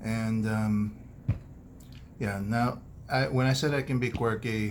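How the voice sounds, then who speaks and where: A man with an American accent at a medium pitch and very slow pace, fairly even intonation, very even loudness and audible room echo. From United States. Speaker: doctor and food vlogger. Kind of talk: casual personal vlog. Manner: monotone; serious, quiet.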